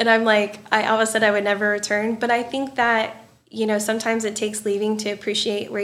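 A woman with a southern Illinois accent talks at a fairly high pitch, with audible echo in the room. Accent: US Midwest, rural southern Illinois. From Southern Illinois, Marion area. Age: 30s. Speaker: hairdresser and salon business coach. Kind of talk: casual interview chat. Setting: studio.

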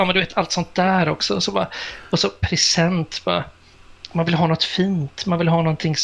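A man in a normal speaking voice talks at a moderate pace with a fairly high pitch. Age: 50s. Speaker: radio and TV presenter. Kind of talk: casual chat.

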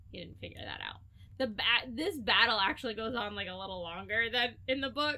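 A woman speaks in a normal speaking voice at a fairly high pitch. Her pitch variation is ordinary. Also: big swings in loudness. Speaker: podcast host. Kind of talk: casual chat.

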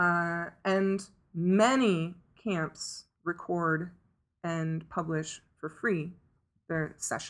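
Speaking at a very slow pace, a woman with an American accent keeps her intonation fairly even. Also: very clean recording, silent background. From US. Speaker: tech community liaison. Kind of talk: interview. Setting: at a conference.

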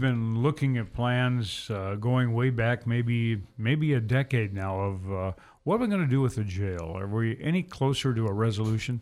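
A man with a normal speaking voice at a moderate pace, in a very clean recording with a silent background. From Kalispell, Montana. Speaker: radio host. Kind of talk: radio interview. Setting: radio studio.

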